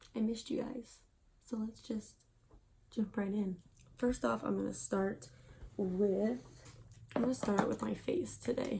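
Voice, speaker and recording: Over noticeable background noise, a woman with a fairly high pitch and ordinary pitch variation speaks at a fairly slow pace with long, frequent pauses. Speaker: beauty vlogger. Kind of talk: casual chat.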